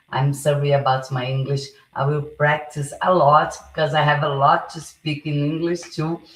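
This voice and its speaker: A woman speaks at a moderate pace in a Portuguese accent, her pitch very deep and low. Her delivery is monotone and flat, and somewhat breathy. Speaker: political live streamer. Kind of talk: live stream monologue. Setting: live stream. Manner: halting, many fillers and restarts.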